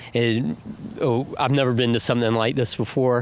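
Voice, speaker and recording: A man speaks at a moderate pace with a North Carolina accent. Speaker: festival visitor. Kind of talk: casual interview. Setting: outdoors at a balloon festival.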